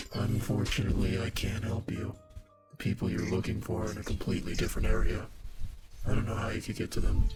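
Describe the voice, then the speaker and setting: Music plays behind a man doing a put-on character voice. He talks at a very fast pace in a fairly low pitch. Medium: video game. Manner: calm, measured.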